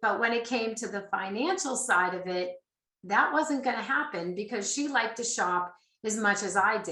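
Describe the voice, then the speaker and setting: At a fairly high pitch, a woman speaks with a slight Boston accent and ordinary pitch variation. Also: moderate pace. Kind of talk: webcast presentation.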